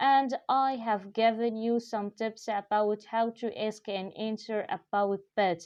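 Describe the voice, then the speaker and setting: A woman with an Arabic accent speaks at a very slow pace in a fairly high pitch. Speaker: English teacher. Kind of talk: tutorial. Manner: hesitant, many fillers.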